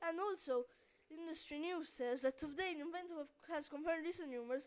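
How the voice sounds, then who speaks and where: A woman mumbles at a fairly quick pace with fairly even intonation. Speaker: gaming video narrator. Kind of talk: let's play commentary. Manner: mumbling.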